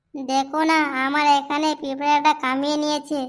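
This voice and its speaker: A woman puts on a cartoonish character voice at a high pitch. She talks at a fairly slow pace with monotone, flat intonation. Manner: sweet, cooing.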